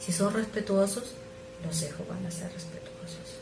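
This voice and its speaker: Music plays in the background as a woman with a fairly low pitch speaks fairly slowly amid audible room echo. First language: not Spanish (speaking Spanish). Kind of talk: sermon.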